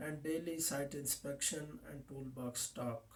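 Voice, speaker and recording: Somewhat breathy, a man's fairly high voice has a dark, mellow tone and fairly even intonation at a fairly slow pace. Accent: Pakistani. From Pakistan. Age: 20s. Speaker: safety officer. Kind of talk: mock job interview. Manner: formal; halting.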